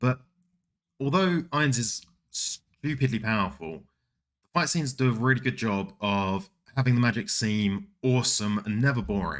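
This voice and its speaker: In a very clean recording with a silent background, a man with a British accent speaks at a moderate pace with lively intonation. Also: medium pitch for a man. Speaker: anime streamer and video essayist. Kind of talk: scripted video essay.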